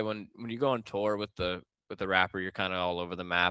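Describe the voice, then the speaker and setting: A man with an American accent speaks at a very fast pace. The recording is very clean and dry, close with no echo, over a silent background. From US Northeast, Long Island, New York. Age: 20s. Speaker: filmmaker, music video director. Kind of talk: interview conversation. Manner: casual, filler-heavy.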